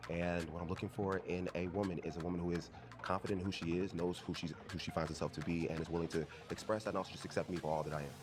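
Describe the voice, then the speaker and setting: Speaking very fast in a flat monotone, a man with a very deep, low voice and an American accent is heard over noticeable background noise. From Texas, Houston. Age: 20s. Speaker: dating show contestant. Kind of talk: casual chat.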